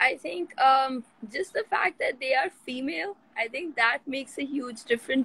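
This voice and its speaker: In a dry recording with no echo, a woman's high voice carries a bright, sharp tone. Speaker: football coach, remote interview guest. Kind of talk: interview answer. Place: home room. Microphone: video call.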